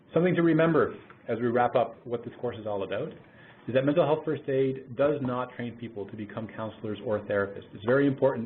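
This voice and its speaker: A man with a Canadian accent speaks at a fairly quick pace, his medium pitch showing ordinary variation. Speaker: mental health program manager. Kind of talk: webinar presentation. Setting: webinar call. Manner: fast.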